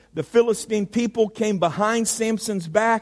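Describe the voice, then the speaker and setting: A man speaks at a high pitch in an American accent, keeping a moderate pace. The recording is very clean, with a silent background. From Indiana. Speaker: pastor. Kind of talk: sermon. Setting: church.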